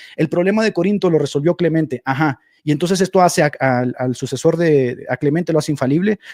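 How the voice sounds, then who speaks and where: A man speaks at a fairly high pitch with ordinary pitch variation and very even loudness. The sound is dry and close, with no echo. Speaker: Protestant apologist debater. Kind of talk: heated debate. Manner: fast; animated.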